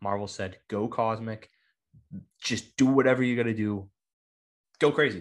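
The speech moves at a moderate pace with fairly even intonation against a quiet background. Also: man, medium pitch for a man. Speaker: comic book podcast host. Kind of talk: casual chat. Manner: halting, many repeated words.

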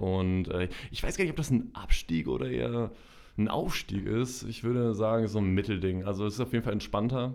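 This man has a normal speaking voice, fairly low in pitch, with lively intonation. His pace is fairly quick. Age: 20s. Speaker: social media marketer. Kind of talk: casual chat. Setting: studio.

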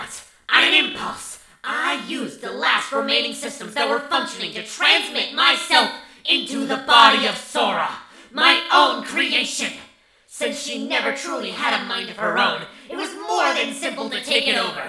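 A high-pitched put-on character voice at a moderate pace, with slight echo. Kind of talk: audio drama villain acting. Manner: gloating, theatrical menace.

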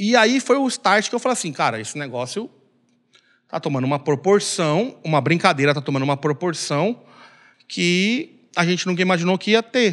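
This man's voice sits high in pitch and moves at a moderate speed. The pitch rises and falls over a very wide range. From Brazil, Belém, Pará. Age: 40s. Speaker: samba percussionist and bar owner. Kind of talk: casual chat. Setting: bar.

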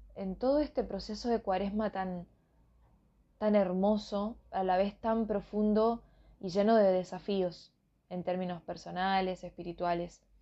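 A woman speaks fairly slowly at a medium pitch with fairly even intonation. It is a plain, everyday voice. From northern Argentina. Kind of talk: religious reflection / Bible meditation.

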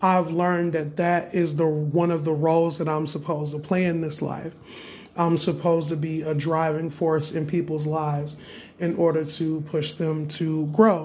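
Moderate pace and monotone, flat intonation, with audible room echo. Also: man, fairly high pitch for a man. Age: 20s. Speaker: spiritual practitioner podcaster. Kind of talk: casual monologue.

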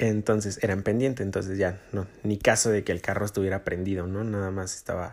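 A man with a Mexican accent speaks at a fairly low pitch and a moderate pace. His intonation is monotone and flat in a very clean recording with a silent background. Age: 20s. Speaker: podcast host. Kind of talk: personal monologue. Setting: home recording in his bedroom. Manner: halting.

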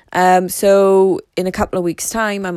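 This woman's tone is clear, smooth and slightly mellow. She speaks at a fairly low pitch and a moderate pace.

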